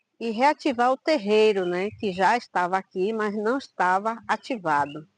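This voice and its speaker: A woman's lively, rising-and-falling delivery at a fairly slow pace, dry and close with no echo against a quiet background. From Bahia, Brazil (Quingoma region near Salvador). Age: 60s. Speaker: quilombola community leader and Afro-Brazilian religious leader. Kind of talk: interview testimony. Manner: halting.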